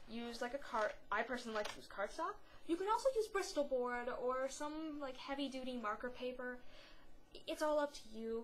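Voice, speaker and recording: A woman's high voice at a moderate pace, with noticeable background noise. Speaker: craft tutorial vlogger. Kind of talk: tutorial. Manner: rambling, hesitant with fillers; casual, chatty.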